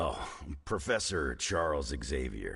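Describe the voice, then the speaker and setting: A man speaks at a fairly slow pace in a raspy, put-on character voice, with music in the background. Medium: video game. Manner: gruff, dry, sarcastic.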